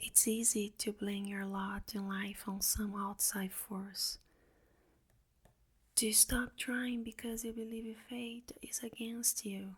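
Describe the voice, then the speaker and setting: Soft-spoken and calm in tone, the voice proceeds at a very slow pace. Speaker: ASMR reader. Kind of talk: soft-spoken audiobook reading for ASMR. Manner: soft-spoken, calm.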